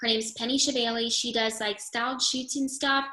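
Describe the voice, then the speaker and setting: Talking at a fairly quick pace, a woman has a bright, sharp tone. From upstate New York. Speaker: wedding photographer. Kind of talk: casual interview chat.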